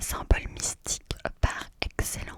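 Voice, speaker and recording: Whispering in a soothing tone, a woman talks at a very slow pace over noticeable background noise. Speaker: ASMR content creator. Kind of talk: ASMR whispered numerology explanation. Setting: close-up studio microphone. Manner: whispered, slow, soothing.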